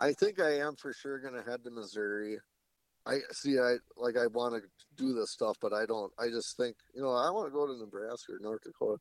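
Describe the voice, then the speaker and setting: A man with an Upper Midwest accent at a medium pitch, dry and close with no echo. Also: ordinary pitch variation, fairly quick pace. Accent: Upper Midwest American. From Wisconsin. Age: 30s. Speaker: public land deer hunter. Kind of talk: casual interview chat.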